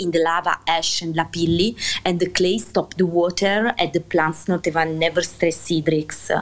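A woman with an Italian accent, fairly low-pitched, at a fairly slow pace. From Italy, Basilicata. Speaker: winemaker. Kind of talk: interview. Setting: online audio chat room. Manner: halting.

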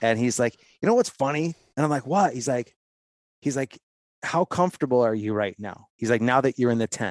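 Over a quiet background, a man with a Midwestern American accent talks at a fairly quick pace with ordinary pitch variation and long, frequent pauses, the sound dry and close with no echo. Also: medium pitch for a man. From Ohio, US Midwest. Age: 40s. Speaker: hunting podcast host, former factory worker. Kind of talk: casual interview chat.

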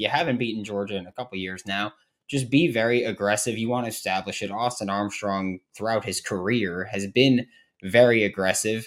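At a moderate pace and with ordinary pitch variation, a normal speaking voice comes through on a very clean recording with a silent background. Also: man. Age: 20s. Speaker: college football podcast host. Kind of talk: casual sports chat.

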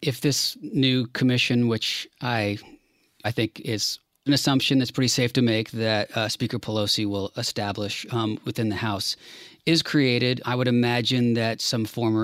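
In a monotone, flat delivery, a man with an American accent is heard in a dry, close recording with no echo. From Washington DC. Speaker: podcast co-host. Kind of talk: casual chat.

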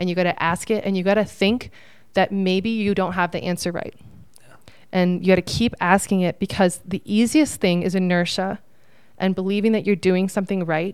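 A woman's unremarkable speaking voice, medium in pitch, with fairly even intonation and a moderate pace. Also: very clean recording, silent background. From Phoenix, Arizona. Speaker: painting business owner. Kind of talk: podcast interview. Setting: conference studio room.

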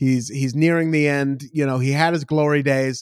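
Animated in tone and moderate in pace, the voice sits in a very clean recording with a silent background and a dry, close sound with no echo. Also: man. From Oregon, US (Beaverton, Portland area). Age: 30s. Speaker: comedian and TV comedy writer. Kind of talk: casual chat.

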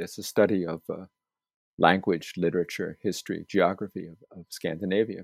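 A man with a plain, everyday voice talks at a fairly quick pace with fairly even intonation. The recording is very clean with a silent background, and the sound is dry and close with no echo. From US, Staten Island, New York City. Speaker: landscape geographer, professor. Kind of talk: interview.

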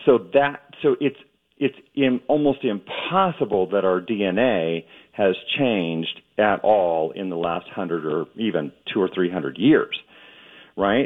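Pausing long and often, a man speaks at a fairly slow pace and a fairly low pitch, his intonation lively. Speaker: ophthalmologist. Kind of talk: radio interview. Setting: remote, not on video.

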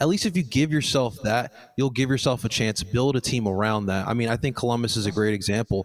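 Very fast and with hardly any pauses, a man of medium pitch speaks at very even loudness with ordinary pitch variation. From Colombian heritage. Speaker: fan podcast host. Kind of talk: casual sports chat.

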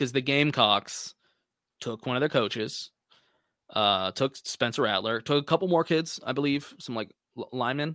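Dry and close with no echo on a very clean recording with a silent background, a man speaks in a normal speaking voice at medium pitch and a moderate pace, with ordinary pitch variation. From Texas. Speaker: college football podcast guest. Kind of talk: casual sports chat.

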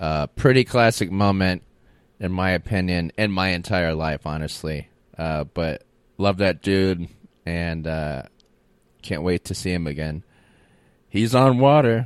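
With an American accent, the speaker moves at a fairly slow pace with long, frequent pauses and ordinary pitch variation, in a very clean recording over a silent background. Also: man, very deep, low pitch for a man. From Florida, Tampa area. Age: 30s. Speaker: comedy podcast host. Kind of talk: casual solo monologue.

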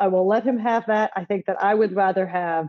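An American-accented woman in a dry, close recording with no echo. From Philadelphia, US. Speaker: baseball writer. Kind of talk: casual chat.

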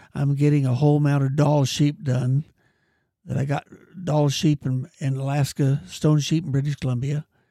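With an American accent, this man has a fairly high, somewhat breathy voice with a dark, mellow tone, fairly even intonation and a moderate pace, recorded with a dry, close sound and no echo. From California. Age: 80s+. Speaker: hunter. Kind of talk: casual chat.

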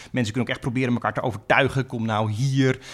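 A man talks at a very fast pace. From Friesland, Netherlands. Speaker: law professor and US politics expert. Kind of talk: podcast interview explaining politics.

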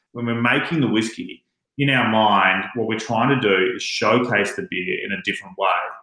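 The recording has audible room echo. A man talks at a medium pitch and a moderate pace. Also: ordinary pitch variation. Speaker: master distiller. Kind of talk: interview. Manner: animated.

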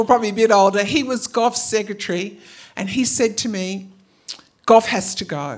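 Fairly quick delivery with ordinary pitch variation and an Australian accent. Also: woman, fairly high pitch for a woman. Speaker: storyteller. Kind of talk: live storytelling. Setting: stage with audience.

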